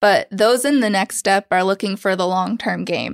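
In a very clean recording with a silent background and a dry, close sound with no echo, a woman with an American accent talks at a fairly quick pace in a plain, everyday voice with ordinary pitch variation. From Oklahoma. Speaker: training coordinator. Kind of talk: casual interview.

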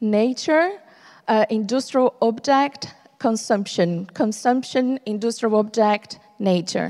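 This woman has a fairly high pitch and ordinary pitch variation. She speaks at a very slow pace. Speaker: interpreter. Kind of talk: live interpretation. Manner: halting.

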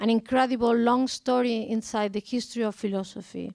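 A strong Spanish accent in a dry, close sound with no echo. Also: woman. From Spain. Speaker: art curator. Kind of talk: public conversation.

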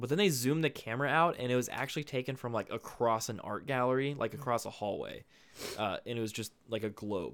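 In a very clean recording with a silent background, a man talks fairly quickly in an ordinary speaking voice, medium-pitched with ordinary pitch variation. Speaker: phone retail employee podcaster. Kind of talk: casual chat.

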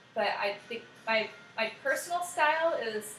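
A woman talks fairly slowly with lively intonation while noticeable background noise carries on. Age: 30s. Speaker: photographer and singer. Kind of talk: casual chat. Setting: at her home.

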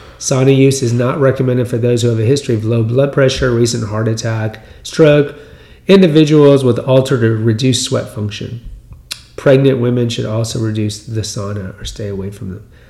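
A man with an American accent talks fairly quickly at a medium pitch, using ordinary pitch variation, with a dark, mellow tone that is somewhat breathy. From US Texas. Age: 50s. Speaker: podcast host. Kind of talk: solo monologue on health news. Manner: conversational, rambling, repeats words.

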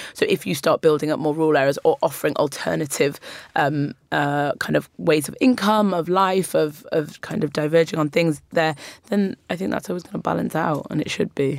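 Vocal fry runs through fairly quick speech with ordinary pitch variation. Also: woman, very deep, low pitch for a woman. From Newcastle, northern England. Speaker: writer, poet and broadcaster. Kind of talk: studio discussion.

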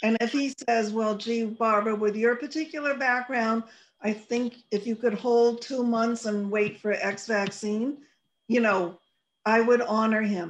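A woman speaks in an unremarkable speaking voice with a fairly high pitch. Her intonation stays fairly even. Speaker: radio host. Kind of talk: casual chat.

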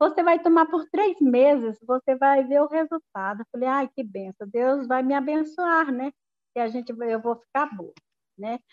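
A woman's voice rises high in pitch with lively intonation. She talks fairly slowly. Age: 60s. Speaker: rural producer and direct sales distributor. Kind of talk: testimony. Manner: casual.

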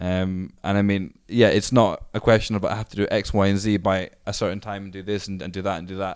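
Speaking with a Scottish accent, a man with a fairly low pitch delivers flat, monotone intonation at a fairly quick pace with hardly any pauses and big swings in loudness, on a very clean recording with a silent background. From Scotland. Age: 30s. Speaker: skate charity founder. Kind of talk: interview.

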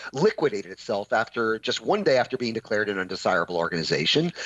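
Speaking very fast with lively intonation, a man uses a fairly low voice against noticeable background noise. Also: dry, close sound with no echo. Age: 50s. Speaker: podcast host and adjunct professor. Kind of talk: interview podcast. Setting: home studio.

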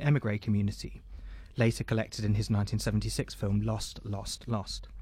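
A man speaks with a British accent in a fairly low pitch, somewhat breathy. The recording is very clean, with a silent background. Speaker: radio host. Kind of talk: arts discussion. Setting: studio.

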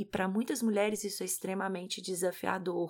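A woman at a medium pitch, with monotone, flat intonation. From Brazil, Minas Gerais. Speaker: podcast co-host, parenting educator, psychologist. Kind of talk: casual podcast talk.

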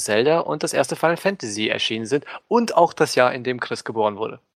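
A man speaks in a normal speaking voice at a medium pitch. His pace is fairly quick and his intonation lively. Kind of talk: casual chat.

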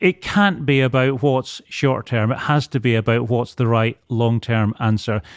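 The man's loudness stays very even as he speaks at a fairly slow pace. His pitch varies in an ordinary way. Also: dry, close sound with no echo, very clean recording, silent background. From Edinburgh, Scotland. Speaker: property company chief executive. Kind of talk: casual business interview.

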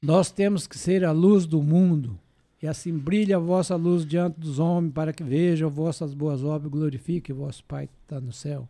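A man's dark, mellow tone with fairly even intonation, big swings in loudness and a moderate pace. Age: 80s+. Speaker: church elder. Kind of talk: testimony.

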